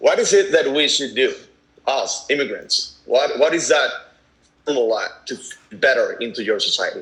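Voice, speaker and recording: Man with a Venezuelan accent at a fairly slow pace. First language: Spanish. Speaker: activist parent. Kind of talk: casual chat. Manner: halting.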